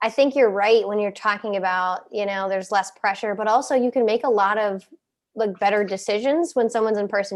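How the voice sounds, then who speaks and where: With a slight Midwestern accent, a woman talks fairly quickly at a medium pitch over a quiet background. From US Midwest, Cincinnati. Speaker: podcast guest, content creator. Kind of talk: casual chat.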